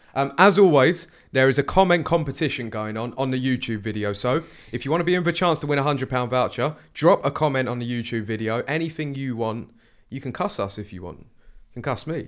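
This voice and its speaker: A man talks at a fairly quick pace in an ordinary speaking voice. The recording is very clean, with a silent background. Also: medium pitch for a man, big swings in loudness. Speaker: podcast host. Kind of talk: casual chat. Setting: studio.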